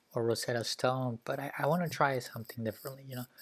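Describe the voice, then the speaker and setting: A man speaks with a Spanish accent. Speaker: YouTuber learning languages. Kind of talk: casual vlog talk to camera. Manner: casual, hesitant with fillers.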